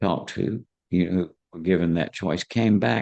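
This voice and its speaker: With lively intonation and vocal fry, a man talks at a moderate pace. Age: 80s+. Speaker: psychiatrist and near-death experience researcher. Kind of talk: interview. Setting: live online event with audience.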